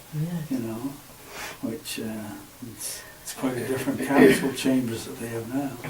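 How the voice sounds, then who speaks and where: A man's medium-pitched voice with fairly even intonation, against noticeable background noise. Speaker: oral history interviewee, former town councillor. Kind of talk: oral history interview answer. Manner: conversational, with frequent fillers.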